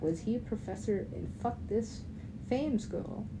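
Fairly slow delivery with audible room echo. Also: woman. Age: 30s. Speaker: podcaster and rapper. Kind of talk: casual monologue. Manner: animated, frequent laughter.

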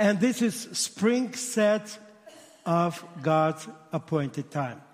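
Very slow speech in a strong Russian accent with lively intonation. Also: man. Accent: heavy Russian-accented English. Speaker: rabbi and missionary. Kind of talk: sermon. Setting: church. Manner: animated.

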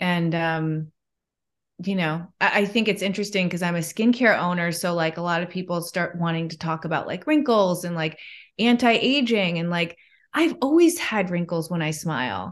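With a Midwestern American accent, the voice moves at a moderate pace with ordinary pitch variation over a quiet background. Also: woman, fairly low pitch for a woman. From US Midwest, Chicago. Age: 40s. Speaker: yoga teacher and skincare business owner. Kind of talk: casual interview chat.

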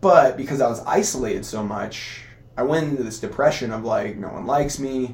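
With a Californian accent, a man at medium pitch talks at a fairly quick pace with lively intonation, amid audible room echo and noticeable background noise. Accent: Californian American English. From Southern California, Costa Mesa. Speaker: physical therapist and competitive athlete. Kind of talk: casual interview conversation.

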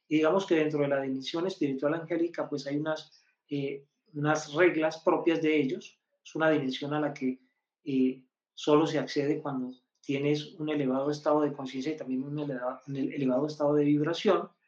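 A man speaks in a flat, monotone delivery at a fairly high pitch. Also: fairly quick pace. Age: 50s. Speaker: numerologist. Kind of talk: live-stream teaching.

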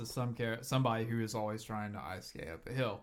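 A man's medium-pitched voice at a very fast pace, on a very clean recording with a silent background. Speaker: podcast host. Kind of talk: casual chat.

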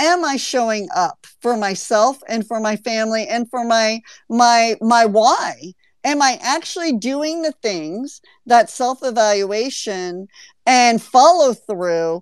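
Very slowly, a woman speaks at a fairly high pitch with lively intonation. The sound is dry and close with no echo. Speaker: podcast host. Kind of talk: casual chat. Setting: online audio room. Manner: animated.

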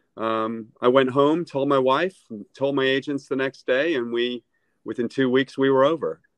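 A man's normal speaking voice, medium in pitch, at a moderate pace with fairly even intonation. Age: 50s. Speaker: real estate agent. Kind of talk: casual interview. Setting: video call.

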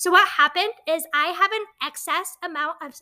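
With a raised, projected voice, a woman speaks in a bright, sharp tone and ordinary pitch variation. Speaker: podcast host. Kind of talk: casual, personal storytelling.

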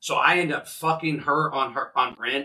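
Bright and sharp in tone, this man speaks with an American accent. His pitch is fairly high. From US Midwest, central Illinois. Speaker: podcast host, recovering addict and outreach worker. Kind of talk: personal testimony in interview.

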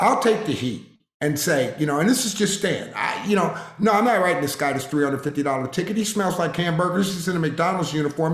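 A man's high voice with an American accent and lively intonation, plus audible room echo. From Harrisburg, Pennsylvania. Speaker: retired police officer. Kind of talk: interview.

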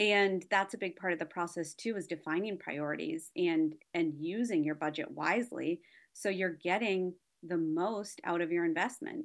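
Against a quiet background, a woman with an unremarkable speaking voice talks at a moderate pace, her fairly low pitch showing ordinary pitch variation. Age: 40s. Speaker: wedding planner and designer. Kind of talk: interview.

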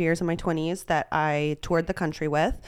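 A woman with an American accent, fairly low-pitched, at a moderate pace, on a very clean recording with a silent background. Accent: Texas accent, comes and goes. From Texas. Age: 30s. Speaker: poker player. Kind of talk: casual chat. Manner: filler-heavy, talks a lot.

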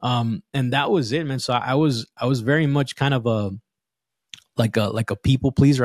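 A plain, everyday voice with an American accent, fairly quick pace and ordinary pitch variation, in a dry, close sound with no echo and a very clean recording with a silent background. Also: man. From Los Angeles, Southern California. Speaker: fatherhood coach. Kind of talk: casual interview chat.

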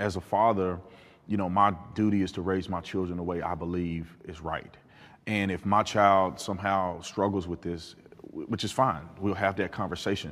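Very deep and low, a man's voice comes with an American accent. His intonation is monotone and flat. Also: moderate pace. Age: 30s. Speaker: former police officer, panel participant. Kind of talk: panel debate.

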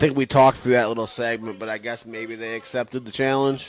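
The man talks in a normal speaking voice, medium in pitch and moderate in speed. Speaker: co-host. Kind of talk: casual banter, heated joking argument while watching wrestling. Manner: punchy, excited, interjecting, jokey.

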